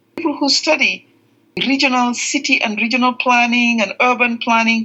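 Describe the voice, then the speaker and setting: A woman speaks with a Gambian accent in a raised, projected voice. Her pitch is high. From The Gambia. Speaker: veterinarian. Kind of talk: podcast interview. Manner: hesitant, many fillers.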